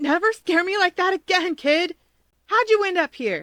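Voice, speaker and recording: Putting on a squeaky character voice at an extremely high pitch, a woman speaks at a moderate pace with ordinary pitch variation. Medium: read story.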